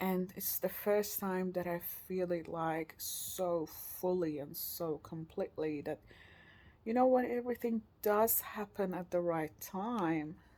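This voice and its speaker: A woman speaks with a non-native accent in a dark, mellow tone. Her pace is very slow, at a medium pitch with ordinary variation. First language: not English. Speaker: vlogger. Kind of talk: personal video diary. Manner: halting, searching for words.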